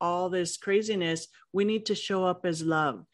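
A woman with an American accent, medium pitch and ordinary pitch variation, an ordinary speaking voice, over a quiet background. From Los Angeles, US. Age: 60s. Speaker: author, leadership expert, professor. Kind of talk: interview, personal story.

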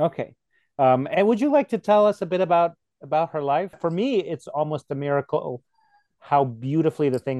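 The recording has a dry, close sound with no echo as a man speaks in a dark, mellow tone. His intonation is lively and his pace fairly quick. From Poland. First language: Polish. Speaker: podcast host. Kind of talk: interview conversation.

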